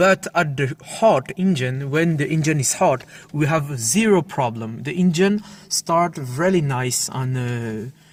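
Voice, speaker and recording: Fairly slow, fairly high male voice with a non-native accent and lively intonation, over noticeable background noise. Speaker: car hobbyist video maker. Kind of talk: tutorial demonstration. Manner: halting, many fillers.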